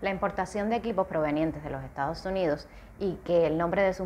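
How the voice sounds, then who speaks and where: Over light background noise, a woman with a Cuban accent speaks in a fairly low voice. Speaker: vlogger. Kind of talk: casual talk to camera. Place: home room. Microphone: webcam.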